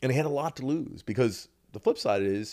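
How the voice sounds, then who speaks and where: On a very clean recording with a silent background, a man with a plain, everyday voice speaks at a moderate pace with lively intonation. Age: 40s. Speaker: MMA executive and debut pro fighter. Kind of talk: casual chat.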